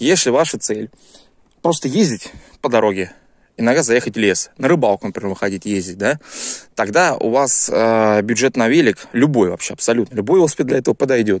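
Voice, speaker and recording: A man speaks at a medium pitch over a quiet background, with a dry sound and no echo. His pace is fairly quick and his intonation lively, broken by long, frequent pauses. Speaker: YouTuber reviewing gear. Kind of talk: casual video review. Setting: outdoors in woods. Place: forest. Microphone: phone near.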